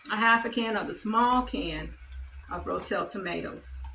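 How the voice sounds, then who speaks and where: A woman with a Southern US accent speaks at a fairly high pitch, with audible room echo and noticeable background noise. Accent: country Southern. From US South, Mississippi. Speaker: cooking YouTuber. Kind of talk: cooking tutorial. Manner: casual, chatty.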